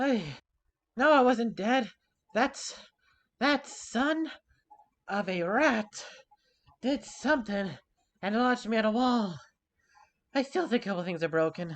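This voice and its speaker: A put-on character voice with a fairly high pitch moves at a fairly slow pace, broken by long, frequent pauses. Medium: actual play.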